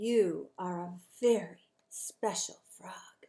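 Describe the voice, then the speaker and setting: A woman's put-on character voice, medium in pitch and very slow in pace. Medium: read story. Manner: chirpy.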